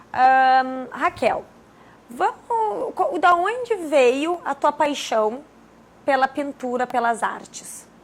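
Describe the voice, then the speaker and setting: At a very slow pace, a woman speaks in a high pitch. Her voice makes very wide pitch swings. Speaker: TV talk show host. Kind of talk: TV interview.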